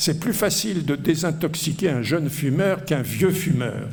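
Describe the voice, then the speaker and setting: Against noticeable background noise and audible room echo, a man speaks in a high pitch with ordinary pitch variation. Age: 70s. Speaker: economics professor. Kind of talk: lecture. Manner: hesitant, many fillers.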